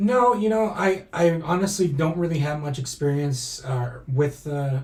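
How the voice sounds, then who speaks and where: His pitch fairly high, a man talks with lively intonation and a fairly slow pace while noticeable background noise carries on. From raised in US by American family, born in Mexico. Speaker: pro wrestling timekeeper. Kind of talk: casual interview chat. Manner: stuttering, halting.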